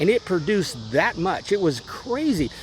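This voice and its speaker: With noticeable background noise behind him, a man talks at a high pitch with very wide pitch swings. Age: 60s. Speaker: home gardener. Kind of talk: casual chat. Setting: outdoors.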